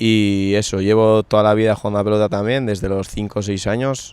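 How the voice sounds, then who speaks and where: A man talks at a fairly slow pace and fairly low pitch, his intonation flat and monotone. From Navarre, Spain (Larraun valley). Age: 20s. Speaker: handball player. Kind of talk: interview.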